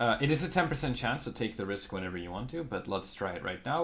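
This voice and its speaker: A man mumbles at a very fast pace. His pitch swings very widely. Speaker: gaming YouTuber. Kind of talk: game guide commentary. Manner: mumbling.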